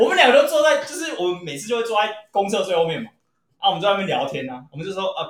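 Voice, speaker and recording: A high-pitched man at a very fast pace, with very wide pitch swings and big swings in loudness. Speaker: podcast co-host. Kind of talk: casual chat.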